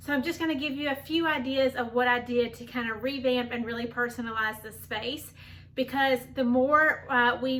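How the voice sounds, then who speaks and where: A woman speaks at a high pitch. Her tone is bright and sharp. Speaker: home decor vlogger. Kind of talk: casual vlog tutorial.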